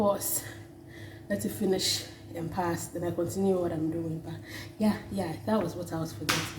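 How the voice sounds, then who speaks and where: A woman with a fairly low pitch speaks with lively intonation and long, frequent pauses. Audible room echo and noticeable background noise are present. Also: moderate pace. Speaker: vlogger. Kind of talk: casual vlog talk.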